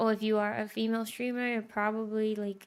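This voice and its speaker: A woman talks in a fairly high voice. The recording is very clean, with a silent background. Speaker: game streamer. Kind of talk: casual chat. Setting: livestream. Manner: loud when playing games.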